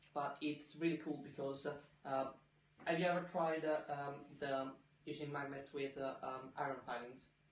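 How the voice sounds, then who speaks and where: A man speaks at a fairly high pitch in a flat monotone. Noticeable background noise and audible room echo surround him. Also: moderate pace. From Italy. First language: Italian. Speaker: science podcast co-host, scientist. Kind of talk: casual chat. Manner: hesitant, many fillers.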